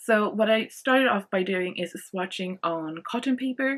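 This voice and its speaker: Her pitch varying in an ordinary way, a woman speaks with a Swedish accent. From Sweden. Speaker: art channel host. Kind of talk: product review. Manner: casual, hesitant with many fillers.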